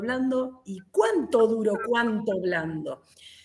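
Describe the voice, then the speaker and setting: Fairly high female voice against noticeable background noise. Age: 40s. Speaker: karate instructor. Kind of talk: casual chat.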